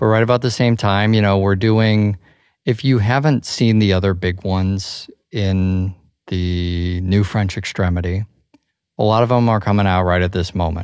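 On a very clean recording with a silent background, a man speaks with very even loudness at a moderate pace. His pitch is fairly low and his intonation fairly even. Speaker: film podcast co-host. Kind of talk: casual chat. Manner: rambling.

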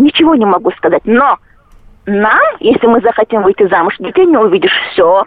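Amid noticeable background noise, a woman talks at a fairly quick pace with a fairly high pitch and very wide pitch swings. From Chechnya. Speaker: caller. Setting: phone call.

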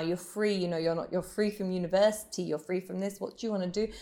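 A woman with a British accent speaks at a medium pitch in a very clean recording with a silent background. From England. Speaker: belly dancer. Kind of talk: interview. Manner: animated.

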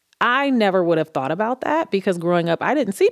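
The sound is dry and close, with no echo. A woman speaks with a Midwestern American accent. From Cleveland, Ohio. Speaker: executive vice president, former broadcast journalism major. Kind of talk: interview conversation. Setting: studio.

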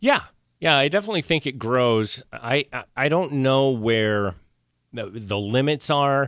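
This man has an unremarkable speaking voice at a medium pitch, with lively intonation and a fairly slow pace. The recording is very clean, with a silent background. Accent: American. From Idaho. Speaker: art licensing businessman and podcast producer. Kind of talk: casual chat. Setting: studio.

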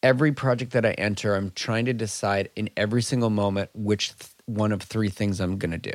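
A plain, everyday voice with an American accent, fairly quick in pace and fairly even in intonation. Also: man. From US Midwest, Minnesota. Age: 30s. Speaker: freelance creative director. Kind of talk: casual interview.

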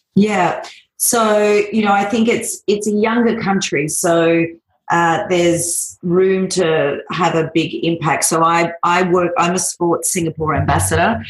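This woman has an ordinary speaking voice, fairly low in pitch with ordinary pitch variation, and talks at a fairly slow pace with very even loudness. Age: 40s. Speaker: fitness business owner. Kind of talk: interview.

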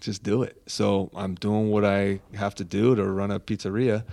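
The recording is very clean, with a silent background. A man speaks at a moderate pace and a fairly low pitch. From Southern California, Orange County. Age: 40s. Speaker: pizza chef and food truck owner. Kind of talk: casual interview.

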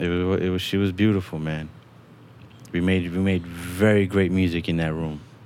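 Very deep and low in pitch, a man speaks with an American accent and monotone, flat intonation. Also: moderate pace. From New York. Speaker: recording engineer. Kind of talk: casual chat.

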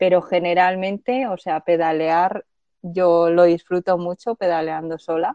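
The recording is dry and close with no echo, carrying a woman's fairly low, dark and mellow voice. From Spain, Zaragoza. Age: 30s. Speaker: long-distance bicycle traveller. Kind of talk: interview. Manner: halting, frequent word repetitions.

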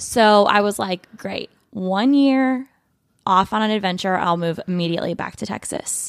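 A woman with an American accent and medium pitch talks at a moderate pace with ordinary pitch variation in a plain, everyday voice. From Michigan, US Midwest. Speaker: community organizer. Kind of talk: casual chat.

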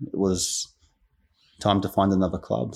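Speaking at a moderate pace, a man with an Australian accent has a fairly low pitch. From Queensland, Australia (English-born). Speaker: football academy manager and coach. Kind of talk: interview.

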